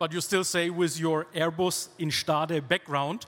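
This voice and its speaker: A German accent with a bright, sharp tone and monotone, flat intonation. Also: man. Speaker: podcast host and panel moderator. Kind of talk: live panel discussion. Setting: stage with live audience.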